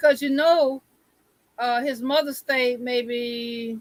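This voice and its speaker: Very slowly, a woman with a high voice speaks with a Southern US accent and ordinary pitch variation. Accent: picked up local Southern. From Syracuse, New York. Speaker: live stream guest. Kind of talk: casual chat.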